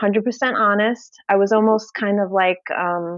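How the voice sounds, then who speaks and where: A woman with a Brooklyn accent, medium pitch, ordinary pitch variation and a moderate pace. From New York, Brooklyn. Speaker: bariatric powerlifter and fitness influencer. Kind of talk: podcast interview.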